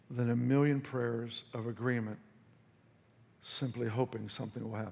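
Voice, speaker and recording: A man talks at a medium pitch and a moderate pace, his intonation monotone and flat. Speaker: pastor, preacher. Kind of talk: sermon, preaching to a congregation.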